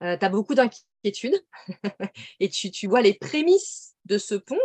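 Delivered in a normal speaking voice at a fairly slow pace, the sound is dry and close with no echo. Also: woman. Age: 30s. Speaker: medium and intuitive coach. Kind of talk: casual interview.

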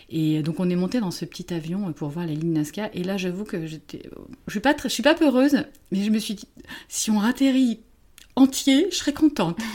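In a dark, mellow tone, a woman with a medium pitch speaks at a moderate pace, her pitch swinging very widely. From France. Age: 50s. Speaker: therapist. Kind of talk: casual chat.

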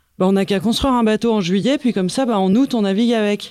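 In a dark, mellow tone, a woman talks at a fairly quick pace. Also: dry, close sound with no echo, very clean recording, silent background. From France, Paris. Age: 30s. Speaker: sailing boat builder and technician. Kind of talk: interview. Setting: team office room.

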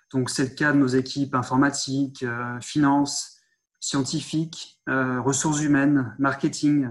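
With a fairly high pitch, a man talks at a fairly slow pace in a monotone, flat intonation. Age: 30s. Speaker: sales manager at a dosimetry laboratory. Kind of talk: interview. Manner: hesitant, repeats words.

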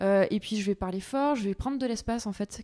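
A woman's dark, mellow voice at a fairly high pitch, very fast pace and ordinary pitch variation, in a very clean recording with a silent background and a dry, close sound with no echo. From Provence, Aix-en-Provence area. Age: 20s. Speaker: agtech startup co-founder, former journalist. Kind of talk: interview. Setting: on location at company offices.

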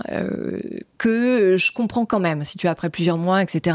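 In a very clean recording with a silent background, a woman speaks at a medium pitch and moderate pace with ordinary pitch variation. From France, Normandy. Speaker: entrepreneur. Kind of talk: interview. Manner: hesitant, filler-heavy.

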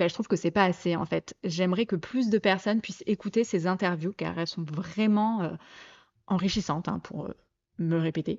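A woman at a moderate pace, medium in pitch, with fairly even intonation. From southeastern France (Côte d'Azur, Provence). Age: 30s. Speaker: podcast host. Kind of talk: casual monologue. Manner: hesitant, many fillers.

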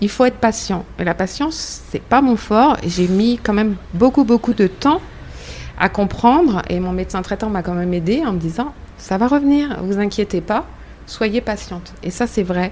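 The speaker talks at a fairly slow pace with lively intonation. Noticeable background noise runs underneath. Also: woman, medium pitch for a woman. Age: 50s. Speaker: breast cancer patient, association member. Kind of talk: round-table conversation.

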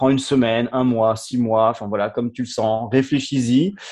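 The background is quiet. The pace is moderate, with ordinary pitch variation. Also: man. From France, of French-African heritage. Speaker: storyteller sharing life experience. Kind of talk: personal testimony. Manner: halting, many repetitions and fillers.

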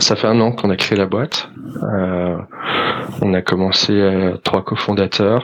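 At a very slow pace, a man speaks in a fairly low pitch. His intonation is monotone and flat. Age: 30s. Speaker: startup founder. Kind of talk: interview.

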